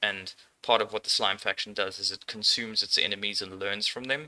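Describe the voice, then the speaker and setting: This man talks at a moderate pace in a German accent, his fairly low voice carrying a bright, sharp tone. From Austria. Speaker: indie game developer. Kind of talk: casual dev tutorial. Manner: relaxed, frequent filler words.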